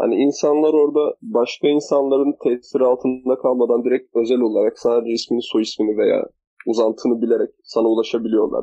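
The voice moves at a fairly quick pace with hardly any pauses and very even loudness. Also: man. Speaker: university student podcaster. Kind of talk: casual chat.

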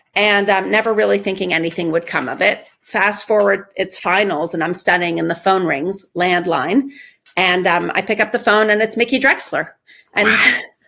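A woman speaks at a moderate pace in a medium pitch, her bright, sharp tone touched with vocal fry and ordinary pitch variation. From Iran. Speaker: marketing executive. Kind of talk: interview.

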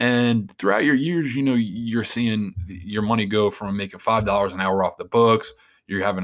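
A man with an American accent speaks at a fairly quick pace in a fairly low pitch, his intonation fairly even, on a very clean recording with a silent background. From Long Island, New York. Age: 20s. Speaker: podcast host. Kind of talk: casual monologue. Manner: rambling.

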